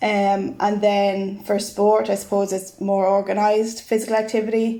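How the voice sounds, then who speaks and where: A woman's medium-pitched voice with a dark, mellow tone, monotone, flat intonation and a fairly slow pace. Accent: Irish. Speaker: physical education lecturer. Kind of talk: podcast interview.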